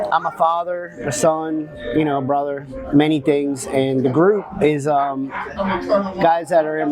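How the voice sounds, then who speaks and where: Fairly high-pitched male voice at a moderate pace, fairly even in intonation, with noticeable background noise. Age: 40s. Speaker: man in addiction recovery, father. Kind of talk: interview testimony. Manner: halting, many fillers.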